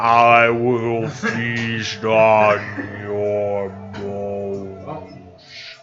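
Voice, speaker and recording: The speaker is a man using a put-on character voice at a fairly low pitch. Clear background noise is present. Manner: menacing, very slow, drawn out.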